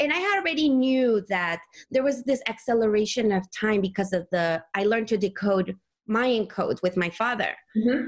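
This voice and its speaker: A woman speaks in a Spanish accent at a moderate pace, her voice somewhat breathy. Her pitch is fairly high and varies in an ordinary way. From Mexico City. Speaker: energy healer and sound therapist. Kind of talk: casual interview.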